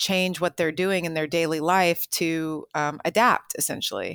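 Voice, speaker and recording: A woman speaks in a normal speaking voice with a fairly low pitch, fairly even intonation and a moderate pace. The recording is very clean and dry, close with no echo and a silent background. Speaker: water policy executive. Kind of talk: interview answers, explanatory.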